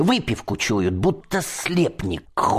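Plain reading aloud, start to finish

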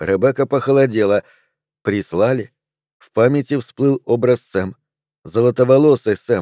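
Delivered in an unforced reading voice, the speech has ordinary pitch variation. The background is quiet.

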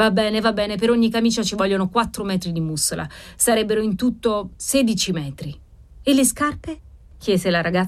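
The pitch varies in an ordinary way in this natural reading voice.

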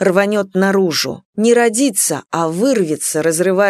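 A quiet background behind reading aloud in a natural voice, with ordinary pitch variation

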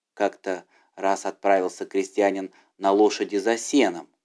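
The voice moves at a moderate pace with fairly even intonation and a slightly mellow tone. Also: man, low pitch for a man.

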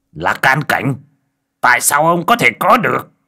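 A man puts on a character voice at a medium pitch, bright and sharp in tone, with vocal fry and big pitch swings, on a very clean recording with a silent background. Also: moderate pace.

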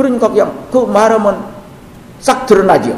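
A man is speaking with audible room echo. Noticeable background noise runs through the clip. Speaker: Buddhist monk teacher. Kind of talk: dharma lecture. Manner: halting, many fillers.

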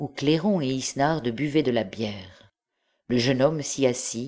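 Against a quiet background, an unforced reading voice rises and falls with ordinary pitch variation.

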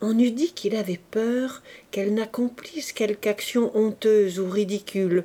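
A natural voice, reading aloud

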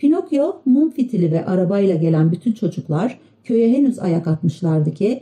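A passage is read out loud. It comes in a natural voice.

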